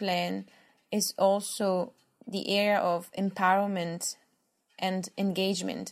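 A woman with an Italian accent speaks at a medium pitch. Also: very clean recording, silent background. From Italy. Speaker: podcast co-host. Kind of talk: interview.

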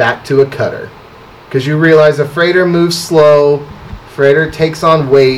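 Amid noticeable background noise, a man with a fairly high pitch talks at a moderate pace in a monotone with flat intonation. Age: 30s. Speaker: barber. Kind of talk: casual chat.

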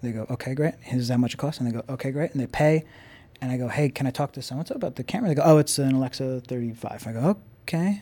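Very fast and with a New York accent, a man talks in a dark, mellow tone at medium pitch with ordinary pitch variation. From Long Island, New York. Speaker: camera car company owner and stunt driver. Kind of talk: casual chat.

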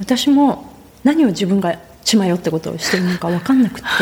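Amid noticeable background noise, a woman of medium pitch speaks at a fairly quick pace with lively intonation. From Japan. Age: 50s. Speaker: author and naturalist. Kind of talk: interview.

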